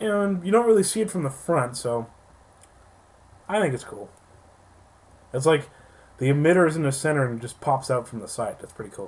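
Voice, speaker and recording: Fairly high and somewhat breathy, a man's voice swings very widely in pitch, broken by long, frequent pauses. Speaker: toy reviewer. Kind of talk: product review. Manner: casual, animated.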